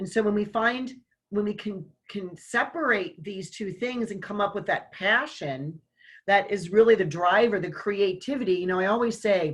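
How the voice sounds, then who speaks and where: With a plain, everyday voice, a woman speaks at a fairly slow pace, her medium pitch showing ordinary variation. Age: 60s. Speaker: online summit host and business owner. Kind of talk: casual conversation.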